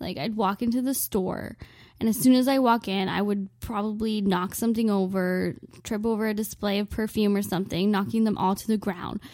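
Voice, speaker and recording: A woman with a Canadian accent and a dark, mellow tone, medium in pitch and fairly quick in pace, on a very clean recording with a silent background. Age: 20s. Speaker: podcast host. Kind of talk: comedic monologue. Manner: animated.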